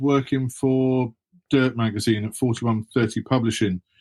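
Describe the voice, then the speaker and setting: Recorded dry and close with no echo, a man speaks with an English accent. His pitch is medium and his pace fairly slow. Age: 60s. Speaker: author and former BMX pro. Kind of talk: interview.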